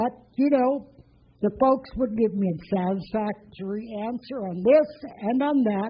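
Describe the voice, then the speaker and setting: Speaking at a very slow pace, a woman has a fairly high pitch, lively intonation and a somewhat breathy quality. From Bessarabia, ethnic German family. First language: German. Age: 80s+. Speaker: storyteller, former war refugee. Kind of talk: personal testimony to an audience.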